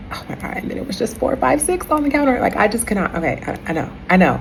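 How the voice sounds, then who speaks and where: The voice has very wide pitch swings. There is audible room echo and noticeable background noise. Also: woman. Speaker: spiritual content creator. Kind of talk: casual vlog monologue.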